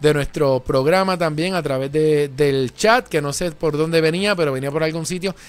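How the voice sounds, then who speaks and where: A man speaks in an unremarkable speaking voice at a moderate pace, with a fairly high pitch and fairly even intonation. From Puerto Rico. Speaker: tech show host. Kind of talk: live tech talk show. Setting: radio/TV studio. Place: studio. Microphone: studio mic.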